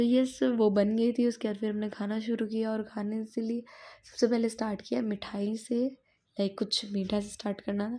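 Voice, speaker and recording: A woman with a fairly high pitch and a dark, mellow tone sounds somewhat breathy, speaking at a moderate pace in a monotone, flat intonation. The recording is very clean, with a silent background. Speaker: vlogger. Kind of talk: casual vlog narration.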